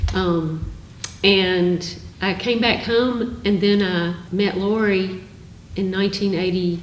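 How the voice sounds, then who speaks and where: A woman with an American accent at a very slow pace, with fairly even intonation and very even loudness, amid audible room echo and noticeable background noise. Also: medium pitch for a woman. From US South (Alabama). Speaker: retired university staff, researcher. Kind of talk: casual chat.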